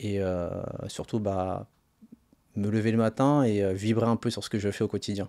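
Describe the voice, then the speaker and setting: Against a quiet background, a man with a fairly low pitch and a dark, mellow tone speaks in a monotone, flat intonation. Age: 30s. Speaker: personal trainer, former finance worker; personal trainer. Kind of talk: interview. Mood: calm, reflective. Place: studio. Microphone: studio mic.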